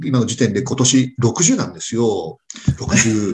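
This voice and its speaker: A somewhat breathy man at a fairly slow pace. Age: 60s. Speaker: restaurant owner and lecturer. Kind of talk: casual chat.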